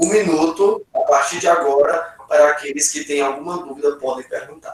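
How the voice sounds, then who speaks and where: The speaker is a man with a plain, everyday voice at a fairly high pitch. He keeps a moderate pace with ordinary pitch variation. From Brazil, Acre. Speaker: pastor, Bible teacher. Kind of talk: Bible study class. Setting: video call.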